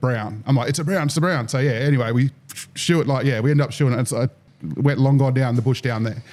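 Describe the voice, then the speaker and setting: This man talks very fast with a dark, mellow tone, medium pitch and an Australian accent. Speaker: fishing podcast host. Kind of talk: casual chat. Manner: animated.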